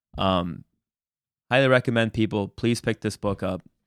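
Fairly low in pitch, a man talks at a moderate pace. The recording is very clean and dry, close with no echo, over a silent background. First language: Spanish. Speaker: podcast host. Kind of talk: casual interview.

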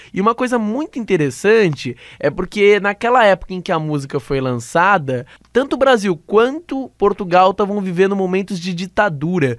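On a very clean recording with a silent background, a man speaks at a moderate pace in a high pitch with very wide pitch swings. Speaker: student radio host. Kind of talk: radio show hosting. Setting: radio studio.

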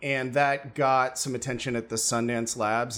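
With an American accent, a man speaks at a medium pitch in an unremarkable speaking voice, his intonation fairly even, on a very clean recording with a silent background. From US. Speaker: screenwriter and filmmaker.

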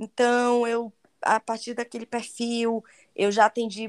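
In a Bahian accent, a woman speaks at a fairly slow pace in a very clean recording with a silent background and a dry, close sound with no echo. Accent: Bahian Brazilian Portuguese. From Bahia, Brazil. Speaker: travel guide and digital influencer. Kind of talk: interview. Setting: podcast.

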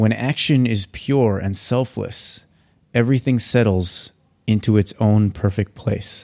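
In a very clean recording with a silent background, a man with an ordinary speaking voice and fairly low pitch speaks at a fairly slow pace with ordinary pitch variation. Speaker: podcast host. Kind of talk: casual interview chat.

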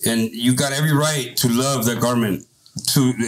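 An unremarkable speaking voice belongs to a man with an American accent. He talks at a moderate pace and medium pitch, with fairly even intonation. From Santa Ana, California (Orange County). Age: 30s. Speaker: business owner, former gang member. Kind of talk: casual chat.

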